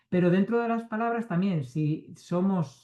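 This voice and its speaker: A man with a high pitch and a dark, mellow tone speaks at a fairly slow pace, his intonation lively. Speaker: neuroscience researcher. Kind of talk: talk to reading club.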